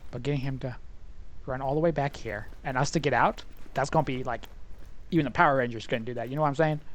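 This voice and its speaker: The speech runs at a very fast pace yet has long, frequent pauses, against a quiet background. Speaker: gaming streamer. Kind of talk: let's play commentary. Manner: animated.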